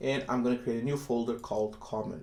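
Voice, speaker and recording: With audible room echo and noticeable background noise, a man speaks at a moderate pace. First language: not English. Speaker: software developer YouTuber. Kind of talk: coding tutorial. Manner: hesitant, many fillers.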